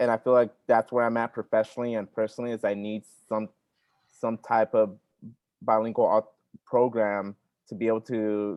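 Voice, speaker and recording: At a moderate pace, a man with a medium pitch speaks in a monotone, flat intonation and takes long, frequent pauses. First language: Spanish. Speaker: workshop participant, teacher credential student. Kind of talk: online workshop discussion.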